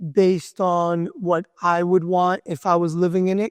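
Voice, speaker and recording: A man with a high pitch speaks at a very slow pace. The sound is dry and close, with no echo. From Argentina, Italian (Calabrese) parents. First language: Spanish or Italian. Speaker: home builder. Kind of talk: interview.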